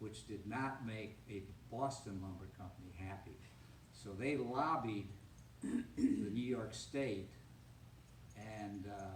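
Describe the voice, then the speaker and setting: A man speaks at a very slow pace with a fairly low pitch, leaving long, frequent pauses. There is audible echo from the room. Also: ordinary pitch variation, big swings in loudness. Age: 70s. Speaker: retiree, descendant of town founder. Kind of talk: talk with audience Q&A. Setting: public reception with audience.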